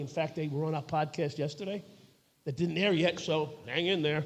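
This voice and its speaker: With a New York accent, a man speaks in a dark, mellow tone at a high pitch, his intonation fairly even. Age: 60s. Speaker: retired police officer and podcast co-host. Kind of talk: live panel discussion. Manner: halting, many fillers.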